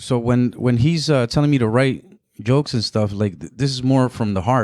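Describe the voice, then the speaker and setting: A man with a Spanish accent speaks at a moderate pace. His pitch is medium, with ordinary pitch variation. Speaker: comedian and photographer. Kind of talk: casual chat. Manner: halting.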